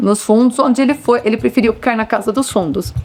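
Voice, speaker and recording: A woman speaks in an unremarkable speaking voice. Her pitch sits fairly high, with ordinary pitch variation. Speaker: local resident interviewee. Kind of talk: documentary interview testimony.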